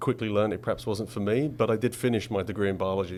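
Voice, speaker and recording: In an English accent, a man talks very fast at a fairly low pitch with fairly even intonation. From England, Essex. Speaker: commercial real estate director. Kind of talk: interview.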